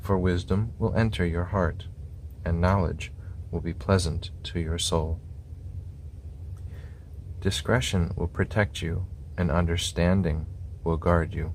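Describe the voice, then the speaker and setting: A soft-spoken man with a very deep, low voice talks calmly at a fairly slow pace, leaving long, frequent pauses. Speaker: scripture reader. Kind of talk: ASMR scripture reading. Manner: soft-spoken, calm.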